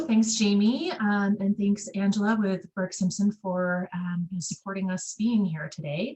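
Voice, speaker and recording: Somewhat breathy, a woman talks at a moderate pace with a medium pitch and ordinary pitch variation. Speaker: licensed clinical social worker and presenter. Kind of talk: webinar presentation. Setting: video call.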